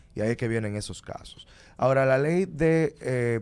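Man speaking at a fairly slow pace with lively intonation. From Dominican Republic. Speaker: lawyer. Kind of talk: radio interview. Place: studio. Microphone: studio mic.

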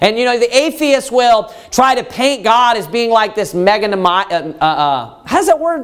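This man's voice sits at an extremely high pitch. He talks at a moderate pace. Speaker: pastor. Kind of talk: sermon. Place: church.

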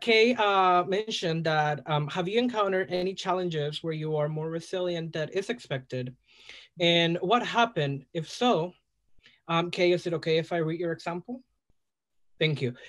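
Speaking at a moderate pace with a Spanish accent, a man with a high pitch and ordinary pitch variation leaves long, frequent pauses against a quiet background. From El Salvador. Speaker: drag performer. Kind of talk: casual chat. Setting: video call. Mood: warm, enthusiastic. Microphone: video call.

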